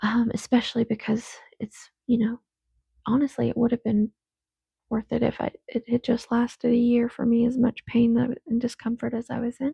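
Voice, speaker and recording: Soft-spoken woman at a fairly high pitch, dark and mellow in tone, monotone and flat, moderate pace, dry close sound with no echo. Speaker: podcaster. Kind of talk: casual monologue. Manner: rambling, hesitant.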